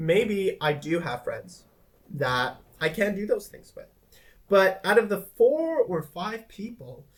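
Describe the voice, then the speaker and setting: A man is speaking. His pace is very slow. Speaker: vlogger. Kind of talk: personal vlog monologue. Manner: hesitant, many fillers.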